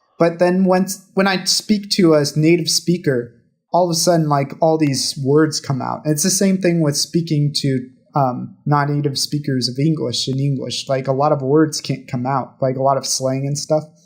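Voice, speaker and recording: A somewhat breathy, fairly high-pitched man's voice with an American accent. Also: ordinary pitch variation, moderate pace. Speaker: podcast co-host. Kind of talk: casual chat.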